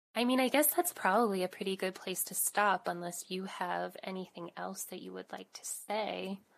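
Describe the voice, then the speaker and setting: A woman at a moderate pace with big swings in loudness. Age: 30s. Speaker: podcast host. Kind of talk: casual chat.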